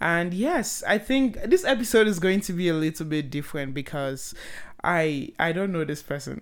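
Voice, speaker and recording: On a very clean recording with a silent background, a woman uses an animated tone and lively intonation at a moderate pace and fairly low pitch. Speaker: podcast host. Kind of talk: casual chat. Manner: joking, animated.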